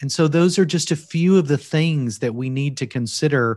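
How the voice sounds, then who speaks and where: This man talks with a Kentucky accent at a moderate pace. His pitch variation is ordinary. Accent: Kentucky Southern US. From Kentucky, US. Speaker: seminary provost and author. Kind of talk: interview conversation on ministry training. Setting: remote, video or call from Wales.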